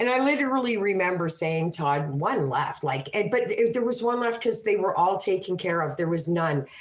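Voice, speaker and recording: In an ordinary speaking voice, a woman talks at a moderate pace and medium pitch with lively intonation. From Canada. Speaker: livestreamer telling stories. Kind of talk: casual livestream storytelling.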